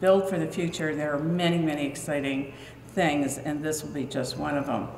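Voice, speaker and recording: Audible room echo and light background noise surround a woman speaking with ordinary pitch variation. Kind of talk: formal speech to audience. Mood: warm, proud. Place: hall. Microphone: podium.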